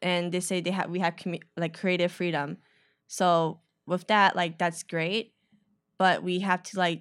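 In an American accent, a woman speaks at a fairly slow pace and a fairly low pitch with monotone, flat intonation. The recording is very clean, with a silent background. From Chicago, north side. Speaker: photographer, creative collective member. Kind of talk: casual interview. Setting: studio.

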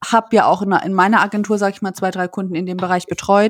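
The recording is very clean with a silent background. A woman talks at a fairly quick pace in a monotone, flat intonation. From Landau, Rhineland-Palatinate, Germany. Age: 20s. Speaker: company co-founder. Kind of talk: interview.

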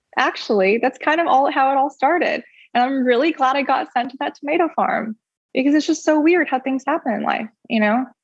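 A fairly quick pace in an American accent, with ordinary pitch variation. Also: woman, high pitch for a woman. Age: 30s. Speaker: business founder. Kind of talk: casual interview. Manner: chatty, laughs often.

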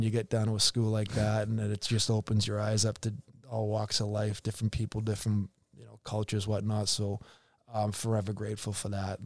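A man with a Boston accent, fairly low-pitched, monotone and flat, at a fairly quick pace over a very clean recording with a silent background. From Boston area, Massachusetts. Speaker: hockey executive and former player agent. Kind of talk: casual interview.

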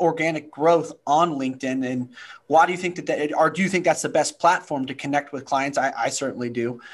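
With an American accent, a man with an unremarkable speaking voice talks at a moderate pace, with a fairly high pitch and ordinary pitch variation. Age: 30s. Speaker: podcast host. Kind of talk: interview.

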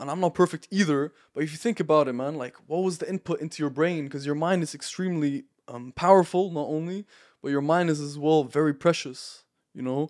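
Captured in a very clean recording against a silent background, a man with a fairly high pitch talks at a fairly quick pace with ordinary pitch variation. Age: young. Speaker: self-improvement content creator. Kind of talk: casual chat. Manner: animated.

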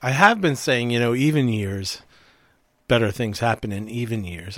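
A man in a normal speaking voice at a moderate pace with ordinary pitch variation, on a very clean recording with a silent background. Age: 60s. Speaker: mental health counselor and podcast co-host. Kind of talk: casual conversational podcast discussion.

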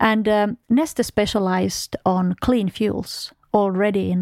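A woman speaks with a Finnish accent and ordinary pitch variation. The sound is dry and close, with no echo. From Finland. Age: 40s. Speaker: oil company executive. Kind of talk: interview. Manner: hesitant, many fillers.

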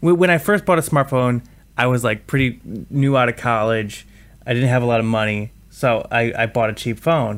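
This man has an unremarkable speaking voice, pitched in the middle range, with ordinary pitch variation, very even loudness and a moderate pace. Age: 30s. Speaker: podcast host on tech investing. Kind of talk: casual chat.

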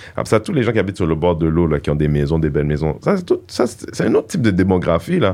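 Very fast speech comes in a dark, mellow tone with ordinary pitch variation. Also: man, very deep, low pitch for a man. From Montreal, Quebec (Haitian parents). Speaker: comedian and activist. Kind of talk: casual interview chat.

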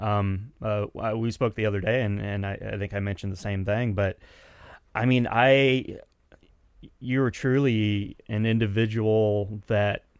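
In a very clean recording with a silent background, a man with an unremarkable speaking voice and an American accent speaks at a fairly slow pace, medium in pitch and fairly even in intonation. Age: 40s. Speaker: musician and recording engineer. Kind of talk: casual interview chat.

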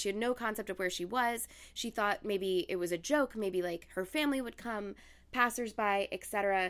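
A woman uses an ordinary speaking voice, keeping a moderate pace and ordinary pitch variation. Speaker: podcast host. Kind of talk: casual chat and storytelling.

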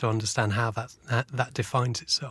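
At a moderate pace, a man with a southern English accent speaks in a medium-pitched voice with fairly even intonation. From southern England. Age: 40s. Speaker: photojournalist. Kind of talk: interview. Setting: studio.

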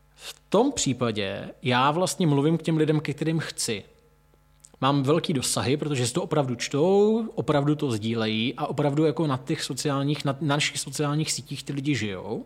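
A man keeps to a moderate pace, his fairly high pitch moving with ordinary variation. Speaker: restaurant owner and wine seller. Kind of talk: casual chat. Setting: in a venue, hosts at a distance.

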